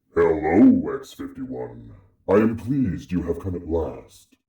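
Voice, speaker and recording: Speaking at a moderate pace in a put-on character voice, a man with a fairly low pitch swings widely in loudness over a slight echo. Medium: audio drama. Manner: grave, measured, portentous.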